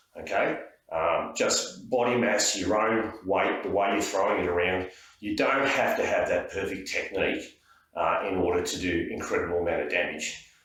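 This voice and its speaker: Moderately paced speech from a man, noticeable background noise behind him. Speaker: martial arts instructor. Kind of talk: technique tutorial to camera. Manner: casual, hesitant.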